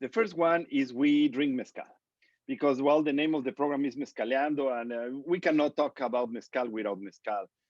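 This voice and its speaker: This man has a fairly high voice, a strong non-native accent and lively intonation. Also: dry, close sound with no echo. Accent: big accent in English. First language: Spanish. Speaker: interview show host. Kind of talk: casual interview.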